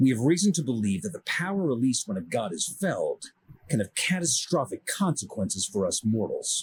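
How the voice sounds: In a put-on character voice with a husky, rough edge, a man speaks at medium pitch and a moderate pace, making big pitch swings.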